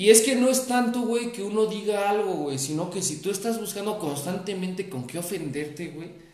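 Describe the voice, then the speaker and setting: Amid noticeable background noise, a man with a Mexican accent talks at a moderate pace in a high voice, with lively intonation, big swings in loudness and hardly any pauses. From Mexico, Veracruz (Perote). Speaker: podcast co-host. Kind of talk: casual chat.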